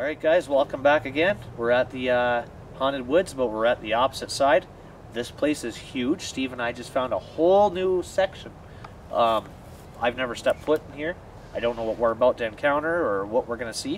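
A man's dry sound with no echo comes through over light background noise. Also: ordinary pitch variation, fairly quick pace. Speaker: paranormal investigation vlogger. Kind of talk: casual vlog chat. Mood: eerie, playful excitement. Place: forest.

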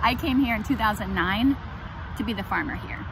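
A woman talks at a moderate pace in a relaxed tone. The sound is dry with no echo, though background noise is noticeable. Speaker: urban farmer and farm school director. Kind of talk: outdoor farm tour video. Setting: outdoors on a farm. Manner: relaxed, with many fillers. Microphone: phone near.

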